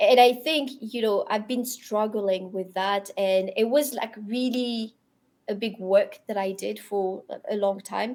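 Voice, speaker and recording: A woman speaks at a fairly slow pace with a French accent, her fairly high voice keeping a fairly even intonation. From Europe, French-speaking. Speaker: crypto industry professional. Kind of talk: podcast interview. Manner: halting, many repetitions.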